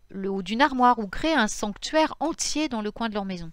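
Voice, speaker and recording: The pitch swings very widely in a very clean recording with a silent background. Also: woman. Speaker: pagan spirituality youtuber. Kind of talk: informal lecture. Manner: halting, self-correcting.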